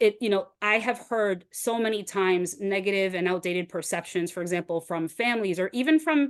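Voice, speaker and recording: A woman speaks with an American accent at a medium pitch and ordinary pitch variation. The background is quiet. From US Northeast, Boston. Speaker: webinar presenter, career pathways expert. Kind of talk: webinar presentation. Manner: fast.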